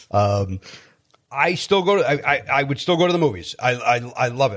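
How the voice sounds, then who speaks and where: A man speaks with a Chicago accent. The recording is very clean, with a silent background. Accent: Chicago American. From Chicago, South Side. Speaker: stand-up comedian and podcaster. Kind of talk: casual interview chat.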